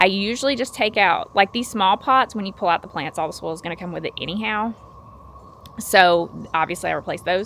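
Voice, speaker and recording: With a Southern US accent, a woman talks at a fairly quick pace in a medium pitch, showing ordinary pitch variation and big swings in loudness. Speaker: gardening YouTuber. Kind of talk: casual vlog tutorial. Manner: casual, filler-heavy.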